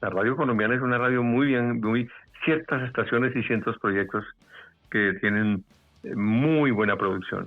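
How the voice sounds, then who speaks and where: A man's medium-pitched voice at a moderate pace, with ordinary pitch variation and music in the background. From Bogotá, Colombia. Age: 70s. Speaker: veteran radio announcer, commercial voice. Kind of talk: interview answer.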